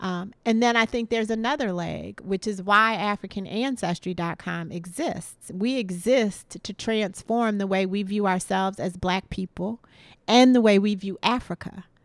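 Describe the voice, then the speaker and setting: A woman with an American accent speaks in a plain, everyday voice at a medium pitch with ordinary pitch variation, at a moderate pace with hardly any pauses, in a very clean recording with a silent background and a dry, close sound with no echo. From US, Washington DC. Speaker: company co-founder. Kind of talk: interview.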